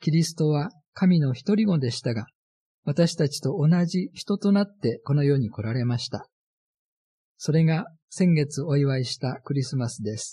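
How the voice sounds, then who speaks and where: Over a quiet background, a man with a fairly high, dark, mellow, somewhat breathy voice speaks at a moderate pace with lively intonation. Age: 70s. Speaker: radio pastor. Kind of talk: sermon.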